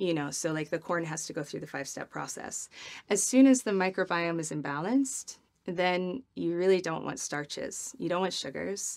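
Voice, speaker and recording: A woman with an American accent and a plain, everyday voice speaks at a moderate pace with a fairly low pitch and lively intonation. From US Midwest. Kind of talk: interview.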